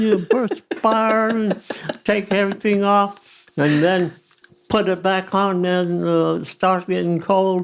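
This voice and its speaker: At a very slow pace, a man talks with a high pitch. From Colorado, USA. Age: 80s+. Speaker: retired landscaping business owner. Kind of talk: interview answer.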